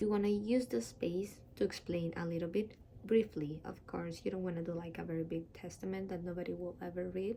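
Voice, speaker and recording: Speaking in a Spanish accent, a woman keeps a fairly quick pace. Her pitch is fairly low and her tone dark, mellow. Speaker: dentist giving application tutorial. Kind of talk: tutorial. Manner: casual, with many fillers.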